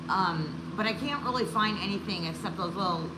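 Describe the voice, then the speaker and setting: A woman at medium pitch and a moderate pace, with audible room echo and noticeable background noise. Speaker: prepping channel co-host. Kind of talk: livestream casual chat. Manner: halting, many fillers.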